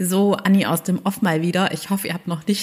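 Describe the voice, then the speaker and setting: Animated in tone, a woman talks at a medium pitch. Her pace is fairly slow. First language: bilingual German and French (speaking German). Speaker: podcast host and career coach. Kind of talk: casual interview chat; scripted intro and outro.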